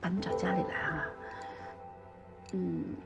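Clear music sits in the background as a woman speaks at a very slow pace. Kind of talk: scripted drama dialogue. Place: home room.

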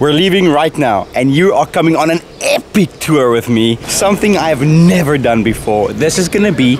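In a dry recording with no echo and noticeable background noise, a man talks at a moderate pace. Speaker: travel vlogger. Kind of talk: casual vlog chat. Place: street. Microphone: phone near.

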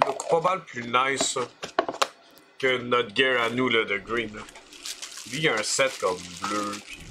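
A man speaks at a very slow pace with long, frequent pauses and ordinary pitch variation over noticeable background noise. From Quebec. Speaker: gamer streamer. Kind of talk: casual chat. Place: home room. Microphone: headset.

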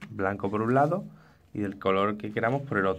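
A fairly low-pitched man with vocal fry, ordinary pitch variation and a moderate pace. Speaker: crafts youtuber. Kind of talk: tutorial.

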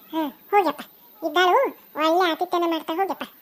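A woman in a cartoonish character voice. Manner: scolding, sharp, domineering.

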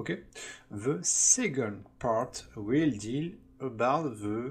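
With a non-native accent, a man speaks at medium pitch, somewhat breathy and with lively intonation. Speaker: online course instructor. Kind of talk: tutorial. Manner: halting, with fillers.

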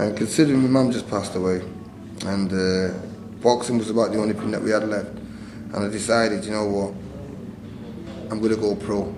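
A man with a Mancunian accent at a fairly quick pace, fairly low in pitch with fairly even intonation, long and frequent pauses, and audible room echo. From northern England, Manchester. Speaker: retired boxer and boxing trainer. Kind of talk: interview.

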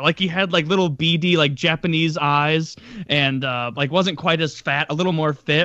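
In a quiet background, a man speaks at a moderate pace, the sound dry with no echo. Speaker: podcast guest. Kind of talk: casual podcast storytelling. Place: home room. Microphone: studio mic.

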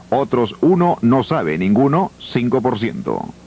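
A man talks while music plays in the background. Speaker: news reporter presenting survey results. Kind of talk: 1985 TV news broadcast, reading poll figures city by city. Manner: brisk, formal, rattling off numbers.

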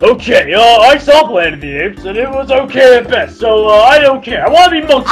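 Over faint music in the background, a man does a put-on character voice at an extremely high pitch and a fairly quick pace. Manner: loud, whiny.

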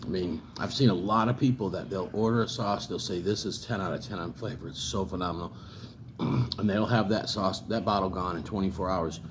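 Somewhat breathy and fairly low-pitched, a man speaks at a fairly quick pace amid noticeable background noise. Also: ordinary pitch variation. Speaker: hot sauce reviewer. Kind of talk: casual vlog chat. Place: home room. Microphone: phone near.

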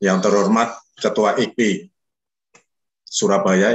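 The background stays quiet. This man talks at a very slow pace. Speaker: association chairman. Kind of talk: formal welcome speech. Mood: warm, respectful, festive. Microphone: video call.

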